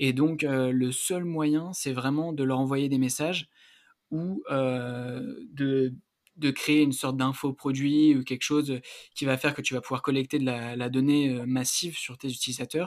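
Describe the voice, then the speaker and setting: At a fairly slow pace, a man speaks in an unremarkable speaking voice, fairly high-pitched with fairly even intonation. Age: 20s. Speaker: student and health-entrepreneurship podcaster. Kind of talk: casual interview.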